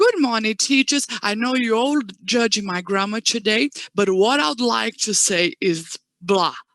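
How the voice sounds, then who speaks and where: Her intonation is lively and her pitch fairly high for a woman. She speaks at a fairly slow pace, and the sound is dry and close, with no echo. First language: not English. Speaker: education manager. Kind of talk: panel interview.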